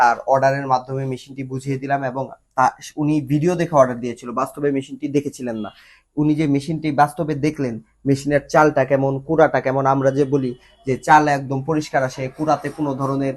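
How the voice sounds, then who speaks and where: A man's fairly high voice in a monotone, flat intonation. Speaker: machinery company presenter. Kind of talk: promotional video presentation.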